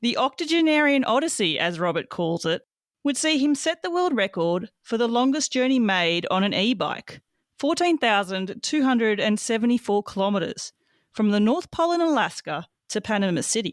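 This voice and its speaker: A woman speaks at a moderate pace with a fairly high pitch and very wide pitch swings. Her loudness stays very even in a very clean recording with a silent background and a dry, close sound with no echo. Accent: Australian. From Australia. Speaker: podcast host. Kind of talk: scripted introduction.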